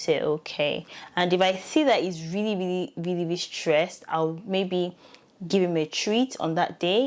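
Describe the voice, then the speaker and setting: A woman with a fairly low-pitched voice talks at a moderate pace. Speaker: parent vlogger. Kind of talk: casual vlog talk. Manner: conversational, with many fillers.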